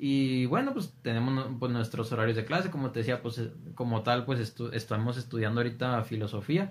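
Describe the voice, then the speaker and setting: A man speaks at a fairly quick pace in a plain, everyday voice, his pitch medium and his pitch variation ordinary. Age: 20s. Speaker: seminarian. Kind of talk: casual chat.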